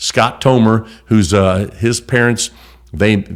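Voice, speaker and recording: This man's pitch sits fairly low. His intonation stays fairly even. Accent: American. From southern Illinois. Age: 50s. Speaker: state legislator. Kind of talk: interview. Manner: fast; loud.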